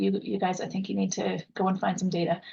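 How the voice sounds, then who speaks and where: Talking at a fairly quick pace, a woman uses a medium pitch with vocal fry. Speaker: workforce consultant and coach. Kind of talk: webinar presentation. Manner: fast.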